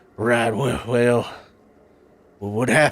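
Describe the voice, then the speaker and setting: In a put-on character voice, a man at medium pitch speaks at a fairly slow pace with monotone, flat intonation. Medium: actual play.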